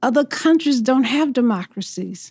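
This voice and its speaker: A woman's high pitch with a dark, mellow tone, lively intonation and a fairly slow pace. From US South. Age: 70s. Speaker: mayoral candidate. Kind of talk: interview.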